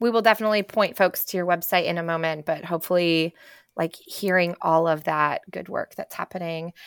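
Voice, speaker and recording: Over a very clean recording with a silent background, a woman with a normal speaking voice talks fairly quickly, with fairly even intonation and a fairly low pitch. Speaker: podcast co-host. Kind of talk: interview.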